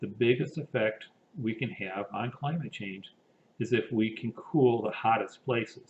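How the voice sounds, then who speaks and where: Somewhat breathy, a man of medium pitch talks at a fairly slow pace with ordinary pitch variation. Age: 60s. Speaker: engineer and climate initiative director. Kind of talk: pre-recorded presentation. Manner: formal.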